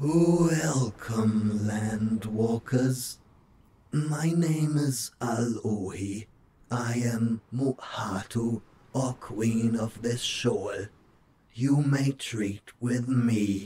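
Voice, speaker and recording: A man speaks very slowly in a put-on character voice. His raspy voice sits at a medium pitch. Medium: read story. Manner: formal, stately.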